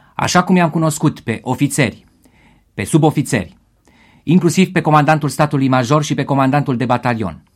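Speaking fairly quickly, a man with a fairly high, somewhat breathy voice uses ordinary pitch variation in a very clean recording with a silent background. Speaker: radio host. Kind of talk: live special radio broadcast during the 1989 revolution. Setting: radio studio, live. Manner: urgent, grave, measured.

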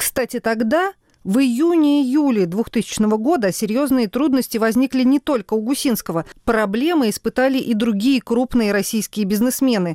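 A high-pitched woman's dark, mellow tone with lively intonation and very even loudness, in a dry, close sound with no echo. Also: moderate pace. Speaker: legal affairs journalist. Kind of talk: scripted narration.

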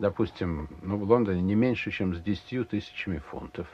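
A man with an ordinary speaking voice talks at a moderate pace and a fairly low pitch. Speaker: casino regular. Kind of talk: interview.

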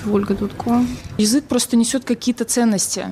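A woman in a normal speaking voice talks at a fairly quick pace with fairly even intonation. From Belarus. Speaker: student. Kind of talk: panel discussion.

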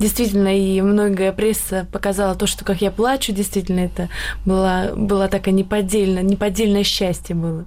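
Medium in pitch, a woman's voice carries a dark, mellow tone and flat, monotone intonation. Her loudness stays very even. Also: moderate pace. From Karelia, Russia. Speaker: beauty queen. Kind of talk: radio talk show discussion. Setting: studio.

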